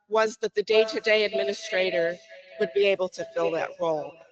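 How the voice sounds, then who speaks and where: A woman's medium-pitched voice with ordinary pitch variation, dry and close with no echo, over music in the background. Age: 70s. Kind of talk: public comment at listening session. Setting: community meeting, in person or online.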